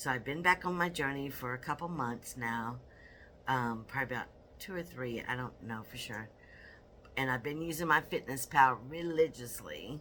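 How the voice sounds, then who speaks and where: At a moderate pace, a woman talks with a very deep, low pitch and a bright, sharp tone. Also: ordinary pitch variation, big swings in loudness. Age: 60s. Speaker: weight loss vlogger. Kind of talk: casual vlog monologue. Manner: rambling, with filler.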